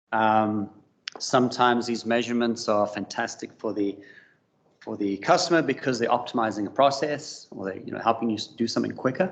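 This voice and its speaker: A medium-pitched male voice with a South African accent, a fairly quick pace, and ordinary pitch variation. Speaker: business development manager, industry presenter. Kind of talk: conference presentation. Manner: hesitant, many fillers.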